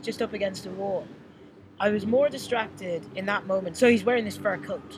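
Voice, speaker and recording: A fairly quick delivery with an Irish accent, over noticeable background noise. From Ireland. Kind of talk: casual chat. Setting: outdoors.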